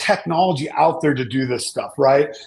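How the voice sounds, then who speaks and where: Vocal fry runs through this man's fairly high-pitched voice, which has ordinary pitch variation. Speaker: data security compliance expert. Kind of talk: panel discussion. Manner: halting, repeats words.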